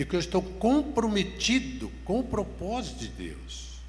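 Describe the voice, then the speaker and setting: A man talks at a fairly slow pace, and audible room echo can be heard around him. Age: 70s. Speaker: pastor. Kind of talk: sermon.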